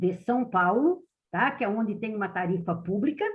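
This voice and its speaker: Pitch swings very widely as a woman speaks at a fairly slow pace. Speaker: public transport specialist. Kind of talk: meeting presentation.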